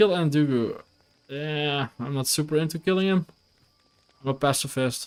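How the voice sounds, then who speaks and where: A man with a Dutch accent, ordinary pitch variation and long, frequent pauses. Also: fairly high pitch for a man, moderate pace. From Netherlands, near Belgian border. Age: 30s. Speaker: video game streamer. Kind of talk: casual gameplay live stream chat.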